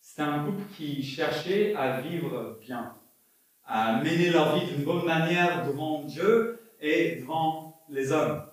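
Amid audible room echo, a man with a fairly high pitch speaks at a very slow pace with ordinary pitch variation. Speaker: pastor. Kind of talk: sermon. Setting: church. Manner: halting.

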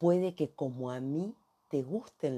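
A woman with a very deep, low pitch and a dark, mellow tone speaks in a Rioplatense accent at a very slow pace. Her intonation is lively, and the background is quiet. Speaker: career coach. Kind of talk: podcast monologue.

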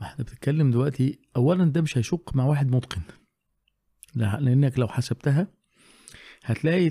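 Somewhat breathy and dark, mellow in tone, a man speaks with an Egyptian accent and ordinary pitch variation in a dry, close sound with no echo. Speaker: Quran teacher. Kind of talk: casual chat.

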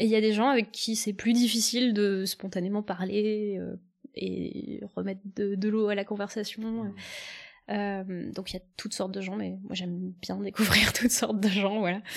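Against a silent background in a very clean recording, a woman speaks at a moderate pace. Her pitch is medium and her intonation monotone and flat. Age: 20s. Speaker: former biologist, science communicator. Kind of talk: casual chat.

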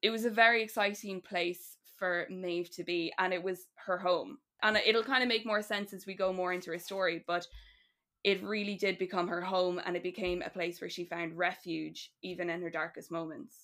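This woman has a bright, sharp tone, a medium pitch and an Irish accent, speaking at a moderate pace with fairly even intonation. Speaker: writer guest. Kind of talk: casual chat, storytelling.

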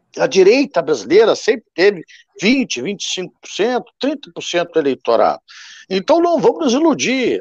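Pausing long and often, a man talks at a fairly slow pace with an extremely high pitch and very wide pitch swings, in a dry, close sound with no echo. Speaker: party president, politician. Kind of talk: political panel debate. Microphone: unstable internet connection.

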